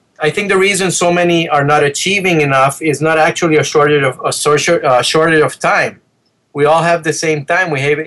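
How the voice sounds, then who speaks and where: With a Spanish accent, a man talks at a fairly quick pace in a fairly high voice. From Venezuela. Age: 50s. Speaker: dentist. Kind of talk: interview.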